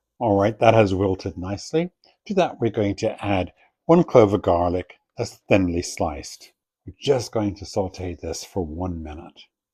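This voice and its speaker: Somewhat breathy, with a dark, mellow tone, a man speaks fairly slowly in a fairly low pitch with lively intonation. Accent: Irish. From Ireland. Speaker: cooking show host. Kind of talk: tutorial.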